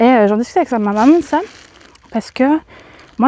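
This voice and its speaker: A woman's voice with ordinary pitch variation comes through with a dry, close sound and no echo. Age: 30s. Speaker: vlogger. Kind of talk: casual chat. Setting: outdoors. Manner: halting.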